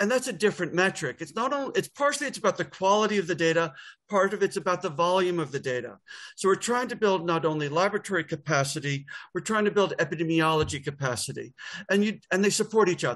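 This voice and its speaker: Speaking very fast in a New York accent, a man uses a high pitch and lively intonation. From US, New York. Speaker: public health data expert. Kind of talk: webinar presentation.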